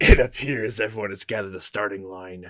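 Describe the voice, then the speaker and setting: A man puts on a raspy character voice at a fairly low pitch. He talks at a fairly quick pace. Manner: ominous.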